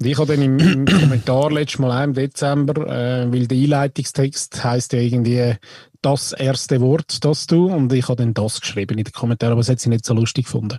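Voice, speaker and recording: Speaking at a fairly quick pace, a man uses a dark, mellow tone that is somewhat breathy, with fairly even intonation. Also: medium pitch for a man. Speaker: podcast co-host. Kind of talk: casual chat.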